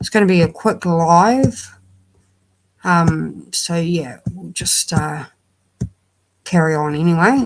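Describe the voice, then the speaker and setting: With a New Zealand accent, a woman speaks at a very slow pace, with long, frequent pauses and big swings in loudness. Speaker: true crime livestreamer. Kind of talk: casual livestream talk. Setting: livestream. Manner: hesitant.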